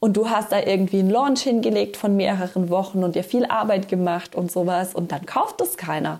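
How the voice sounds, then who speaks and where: A woman's voice with a dark, mellow tone. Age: 30s. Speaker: podcast host, business coach. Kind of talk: solo podcast monologue. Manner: casual.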